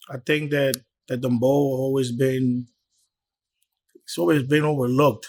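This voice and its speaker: A man talks at a moderate pace. His speech has long, frequent pauses. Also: medium pitch for a man, fairly even intonation. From Bronx, New York, Dominican family. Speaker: promoter and club owner. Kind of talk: interview. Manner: casual, repetitive.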